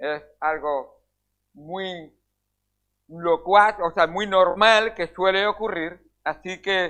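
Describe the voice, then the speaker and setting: A man in a Spanish accent speaks very slowly, with long, frequent pauses. His pitch is high and his intonation fairly even. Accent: Peninsular Spanish. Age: 60s. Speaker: pastor. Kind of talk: sermon. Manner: halting.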